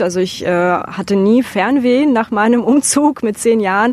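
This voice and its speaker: Against noticeable background noise, a woman with a Russian accent speaks at a moderate pace and a fairly high pitch. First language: Russian (speaking German). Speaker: interview guest. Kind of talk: interview.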